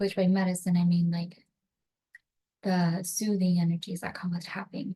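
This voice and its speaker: Speaking at a moderate pace, a woman with a fairly low pitch has a dark, mellow, somewhat breathy tone and a monotone, flat intonation. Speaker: energy healing practitioner. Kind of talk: guided tapping session introduction. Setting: home recording on computer.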